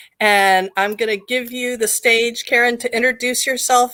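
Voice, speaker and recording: A woman speaks loudly at a fairly slow pace, her fairly high voice bright and sharp in tone. The recording is very clean, with a silent background. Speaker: psychic medium and live show host. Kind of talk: live stream chat. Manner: animated.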